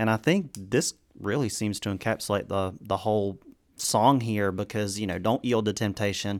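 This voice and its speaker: A man's normal speaking voice, fairly low in pitch, at a moderate pace with fairly even intonation, in a very clean recording with a silent background. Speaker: co-host of a Bible discussion podcast. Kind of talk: casual Bible study discussion.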